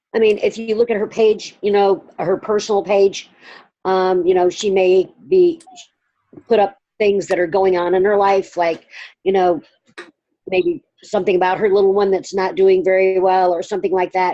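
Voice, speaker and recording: With a Southern US accent, the speaker uses a dark, mellow tone, very even loudness and fairly even intonation, leaving long, frequent pauses. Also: woman, medium pitch for a woman. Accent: Southern drawl. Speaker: direct sales consultant. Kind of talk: group coaching call.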